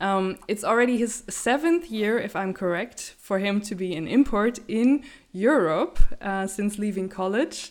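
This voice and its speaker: Over a silent background on a very clean recording, a woman with a German accent speaks fairly slowly at a medium pitch with lively intonation. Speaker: podcast host. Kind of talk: interview.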